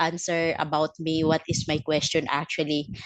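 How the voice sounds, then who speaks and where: A woman speaks at a fairly slow pace in a Filipino accent with a fairly low pitch. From Philippines. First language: Filipino language. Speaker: network marketing team leader. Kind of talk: testimony. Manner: halting, many fillers.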